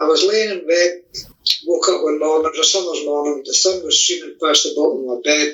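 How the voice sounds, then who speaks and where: With a Scottish accent, a man talks at a fairly quick pace in a fairly high pitch with fairly even intonation. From Scotland. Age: 70s. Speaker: author. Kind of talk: interview.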